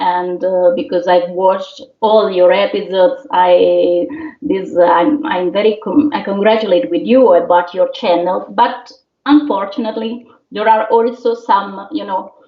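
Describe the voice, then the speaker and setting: A woman with an Italian accent, medium in pitch, lively in intonation, at a fairly slow pace. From Italy. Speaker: opera singer. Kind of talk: interview. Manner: halting.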